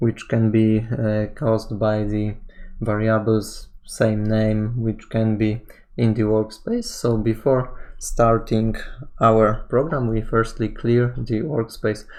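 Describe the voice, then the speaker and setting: Someone speaks at a very slow pace with a non-native accent. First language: not English. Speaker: programming tutorial instructor. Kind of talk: tutorial. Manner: halting, many fillers.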